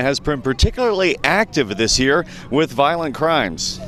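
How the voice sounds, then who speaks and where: Noticeable background noise under speech with lively intonation and a moderate pace. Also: man. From Atlanta, Georgia. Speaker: radio and TV news reporter. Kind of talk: radio news report.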